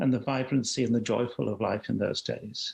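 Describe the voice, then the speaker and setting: Somewhat breathy and fairly high-pitched, a man speaks with a British accent. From London, England. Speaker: HIV activist. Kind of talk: interview. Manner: halting, repeats words.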